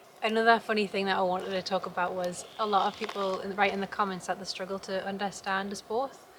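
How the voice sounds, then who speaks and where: A woman's medium-pitched voice in a Geordie accent, monotone and flat, with hardly any pauses and noticeable background noise. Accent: Geordie, slowed down for camera. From northern England, Newcastle area. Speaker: homesteader vlogger. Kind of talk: casual vlog chat. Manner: careful articulation on camera.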